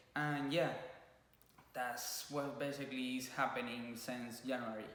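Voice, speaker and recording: Heard with audible room echo, a man with a Cuban accent speaks at a fairly slow pace in a bright, sharp tone. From Cuba (Havana). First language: Spanish. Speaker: YouTuber (couple vlog). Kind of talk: casual chat. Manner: halting.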